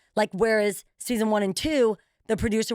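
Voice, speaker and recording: A woman's animated, fairly high voice at a moderate pace, very cleanly recorded against a silent background, dry and close with no echo. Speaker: TV show host and real estate broker. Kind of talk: casual chat. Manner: loud.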